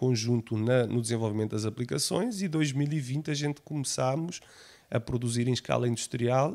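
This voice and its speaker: Speaking with a Portuguese accent at a moderate pace and ordinary pitch variation, this voice comes through on a very clean recording with a silent background. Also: man. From Portugal. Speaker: technology company founder. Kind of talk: podcast interview.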